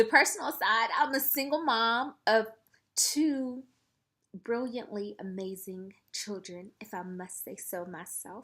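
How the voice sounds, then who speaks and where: Speaking very slowly with a Southern US accent, a woman uses a fairly high, bright, sharp voice. Her intonation is lively and her loudness swings widely. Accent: Southern US (Georgia). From US South, Columbus, Georgia. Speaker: makeup artist, vlogger. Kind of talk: casual chat to camera.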